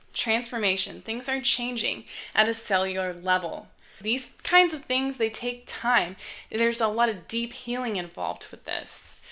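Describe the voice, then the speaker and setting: A woman's fairly high, bright, sharp voice at a moderate pace with ordinary pitch variation. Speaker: tarot reader. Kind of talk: tarot reading. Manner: casual, chatty.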